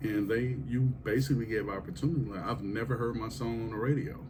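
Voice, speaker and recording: There is audible room echo around a man whose somewhat breathy voice shows ordinary pitch variation. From Kansas City, Missouri. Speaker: podcast host. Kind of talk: casual interview chat.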